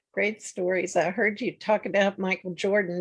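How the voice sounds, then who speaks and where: A normal speaking voice from a woman, moderately paced, fairly even in intonation and medium in pitch. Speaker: book interview host. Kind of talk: interview host intro.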